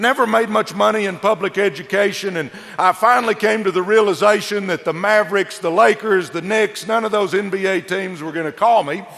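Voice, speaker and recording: Noticeable background noise sits behind a high-pitched man with a Texas accent. He talks at a fairly quick pace with hardly any pauses and ordinary pitch variation. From Texas, southeast Dallas. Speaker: motivational speaker, former coach, network marketer. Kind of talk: motivational speech. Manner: animated.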